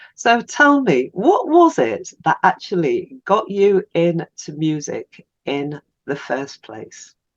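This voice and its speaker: Speaking very slowly with an English accent, a woman's loudness swings widely in a dry, close recording with no echo. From England. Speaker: podcast host. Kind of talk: interview.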